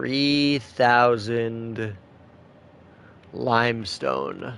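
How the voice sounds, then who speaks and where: A man speaks over noticeable background noise. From Canada. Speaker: video game streamer. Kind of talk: casual chat. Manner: casual.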